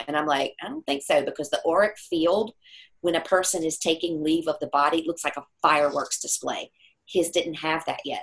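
A woman's ordinary speaking voice, fairly low in pitch, at a fairly quick pace with ordinary pitch variation. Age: 50s. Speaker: metaphysical healer and speaker. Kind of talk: interview.

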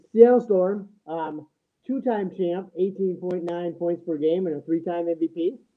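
Speaking at a fairly slow pace with an American accent, a man uses a high pitch and ordinary pitch variation. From Minnesota. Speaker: high school coach and former sports radio host. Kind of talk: casual sports debate. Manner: halting, many fillers.

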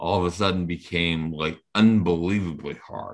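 A man with a Rhode Island accent, very deep and low in pitch, at a moderate pace with fairly even intonation, in a very clean recording with a silent background. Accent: New England (Rhode Island) American. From Rhode Island, Portsmouth. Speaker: former baseball player and high school coach. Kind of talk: interview. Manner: halting, many fillers.

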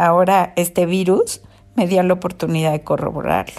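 A woman talks at a medium pitch with a dark, mellow tone. The recording is very clean, and the background is silent. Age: 70s. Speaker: host's mother, COVID-19 patient. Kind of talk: interview testimony.

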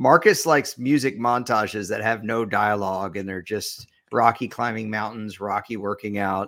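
A man's fairly low voice with ordinary pitch variation and hardly any pauses, on a very clean recording with a silent background. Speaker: podcast host. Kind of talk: casual sports podcast banter. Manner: fast talker.

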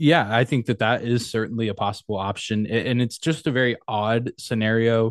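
In an American accent, a man with an ordinary speaking voice talks at a fairly quick pace with hardly any pauses, very even loudness, fairly even intonation and medium pitch, the sound dry and close with no echo against a quiet background. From West Texas. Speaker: sports podcaster. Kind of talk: casual interview.

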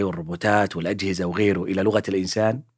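A man on a very clean recording, silent background. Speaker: podcast host, linguist. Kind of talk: casual educational monologue. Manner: spontaneous, conversational.

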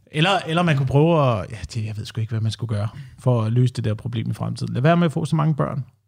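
A somewhat breathy man talks at a very fast pace. His intonation is lively. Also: medium pitch for a man. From Denmark, Slagelse area (Zealand). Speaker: radio host. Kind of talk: casual chat.

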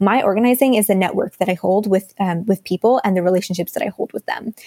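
Speaking with an American accent, a woman talks very fast at medium pitch. The sound is dry and close, with no echo. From Texas, Dallas. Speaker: climate activist, communications staffer. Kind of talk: interview.

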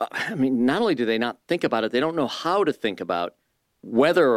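A man with an ordinary speaking voice talks at a fairly quick pace and medium pitch, with a dry, close sound with no echo on a very clean recording with a silent background. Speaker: radio host. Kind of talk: radio interview.

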